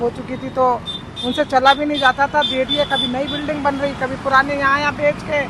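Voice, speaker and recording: A woman speaks at a high pitch. Noticeable background noise runs underneath. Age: 60s. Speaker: widowed protester. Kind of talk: interview testimony.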